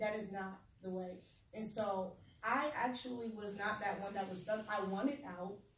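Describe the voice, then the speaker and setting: A woman talks with an animated tone at a medium pitch. Room echo is audible. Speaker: speaker sharing personal trauma story. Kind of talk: testimony. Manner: fast.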